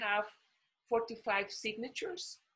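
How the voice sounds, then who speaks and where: This woman's tone is bright and sharp. It has a clear edge throughout. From Costa Rica. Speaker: diplomat; panelist. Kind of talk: panel talk. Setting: video call. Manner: halting, many fillers. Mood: earnest, engaged. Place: home room. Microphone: webcam.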